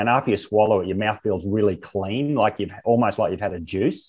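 Fairly low in pitch, a man speaks with an Australian accent. His pace is moderate and his intonation fairly even. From rural Queensland, Australia. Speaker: olive oil company co-founder and chairman. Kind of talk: interview.

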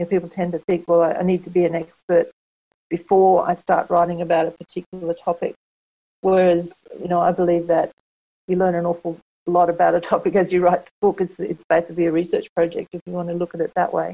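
Very fast and flat in intonation, a woman with an Australian accent speaks in a fairly low, dark and mellow voice that sounds dry and close, with no echo. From Australia, rural Queensland (Kingaroy). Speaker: book coach and self-publishing consultant. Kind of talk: interview conversation.

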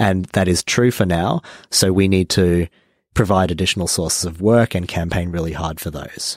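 A man's very deep, low voice with an Australian accent, at a moderate pace and fairly even intonation, dry and close with no echo in a very clean recording with a silent background. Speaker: climate activist organizer. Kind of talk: interview. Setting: studio.

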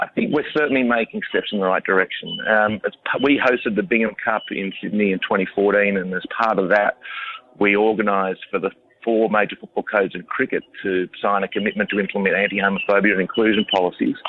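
Background noise is noticeable as a man speaks with an Australian accent. His pace is fairly quick. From Australia, country New South Wales. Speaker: founder of an inclusive rugby club. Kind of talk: radio interview. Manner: hesitant, many fillers.

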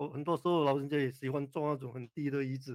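Fairly even in intonation, a man with a fairly high pitch is heard in dry, close sound with no echo. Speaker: orthopaedic spine surgeon. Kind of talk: expert interview on radio call-in. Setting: radio studio with Facebook Live.

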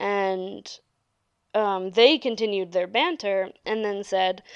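Against a quiet background, a woman talks in an animated tone at a fairly slow pace. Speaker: podcaster, restaurant server. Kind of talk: casual monologue. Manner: rambling with many fillers; animated, laughing.

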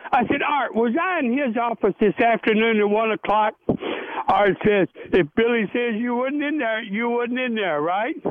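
Noticeable background noise sits behind a man with an extremely high pitch. He speaks at a moderate pace with lively intonation. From Tennessee. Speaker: retired baseball pitcher. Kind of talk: interview storytelling. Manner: animated.

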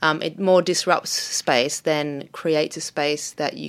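A woman with an Australian accent, a very deep, low pitch, ordinary pitch variation and a fairly slow pace. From Australia, Melbourne. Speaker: artist. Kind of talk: interview. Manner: halting, many fillers.

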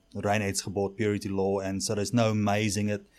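A man with a South African accent speaks at a fairly quick pace, his pitch fairly low. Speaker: head brewer. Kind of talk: casual interview. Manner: animated.

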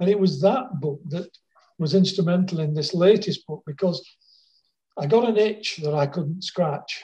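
A man speaks with a dark, mellow tone at a high pitch. His pace is moderate and his pitch variation ordinary. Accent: Lancashire. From northern England, Wigan. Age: 70s. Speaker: author. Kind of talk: interview. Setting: phone or video call.

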